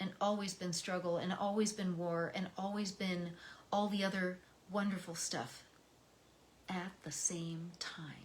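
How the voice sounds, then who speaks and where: The speaker has an American accent and a somewhat breathy voice. Delivery is fairly slow, with monotone, flat intonation. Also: woman. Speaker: poetry reader. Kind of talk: reading aloud; personal reflection. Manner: emotional.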